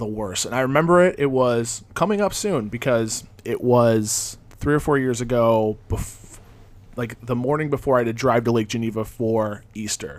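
In a very clean recording with a silent background, a man of medium pitch talks at a moderate pace with ordinary pitch variation. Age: 30s. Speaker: podcast co-host. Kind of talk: casual chat. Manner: quiet, calm.

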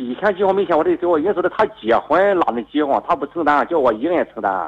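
In a strong Shandong accent, a man talks at a very fast pace with a fairly high pitch, lively intonation and vocal fry. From Shandong, China. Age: 50s. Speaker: radio call-in caller. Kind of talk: call-in advice conversation. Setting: phone call. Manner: halting.

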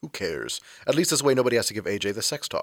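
In a put-on character voice, a man talks at a fast pace with big pitch swings, a fairly low pitch and a fairly bright tone, recorded very cleanly against a silent background.

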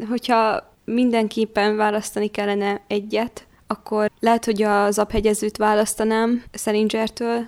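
A woman speaks at a very slow pace and a fairly high pitch, in a dry, close sound with no echo. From Vojvodina, Serbia. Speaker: young novelist and university student. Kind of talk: interview.

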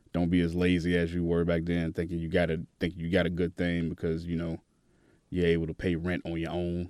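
A man with an American accent, very deep and low in pitch, at a very fast pace with monotone, flat intonation, over a quiet background. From Tennessee, Chattanooga. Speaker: DJ. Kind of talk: casual interview. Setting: studio.

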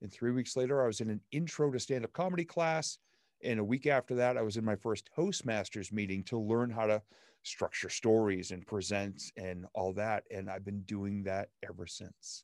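Here a man talks at a fairly low pitch and a moderate pace, with lively intonation. The sound is dry and close with no echo, over a quiet background. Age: 50s. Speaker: stand-up comedian and motivational speaker. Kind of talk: casual interview chat. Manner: animated.

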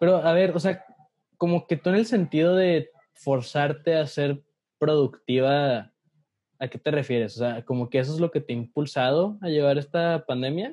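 The man's voice is fairly high, with a dark, mellow tone. He keeps a moderate pace and ordinary pitch variation. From Mexico, Ciudad Juárez, Chihuahua. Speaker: podcast co-host, communications student. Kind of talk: casual chat. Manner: animated.

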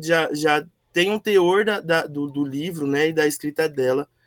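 An unremarkable speaking voice talks at a fairly slow pace with ordinary pitch variation. The sound is dry and close, with no echo. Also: man. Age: 20s. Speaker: book club member. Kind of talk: casual chat.

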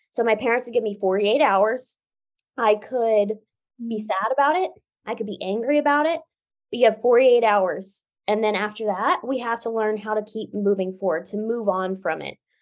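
A woman's fairly high, a normal speaking voice at a moderate pace, with ordinary pitch variation. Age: 20s. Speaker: Paralympic swimmer and author. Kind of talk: interview conversation.

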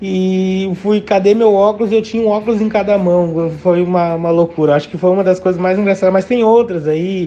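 With a southern Brazilian accent, a man talks at a moderate pace in a high pitch, with hardly any pauses. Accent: gaúcho Brazilian Portuguese. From Rio Grande do Sul, Brazil (Novo Hamburgo area). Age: 30s. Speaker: gaúcho dance teacher. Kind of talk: casual interview chat.

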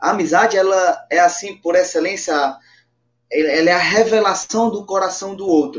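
High pitch from a man, ordinary pitch variation, and a moderate pace. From Brazilian Northeast, Patos, Paraíba. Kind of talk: religious testimony and teaching.

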